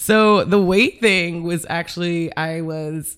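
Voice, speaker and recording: In an American accent, a woman speaks with a very deep, low pitch and ordinary pitch variation in a very clean recording with a silent background. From Cleveland, Ohio. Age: 30s. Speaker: comedian and artist. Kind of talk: casual chat. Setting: home apartment recording.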